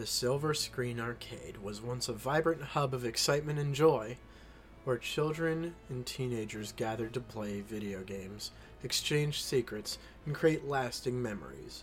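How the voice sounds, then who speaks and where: Music plays behind a man speaking at a moderate pace. His voice sits at a medium pitch with ordinary pitch variation. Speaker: podcast host. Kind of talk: horror narration, reading creepypasta aloud. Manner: casual, chatty in intro.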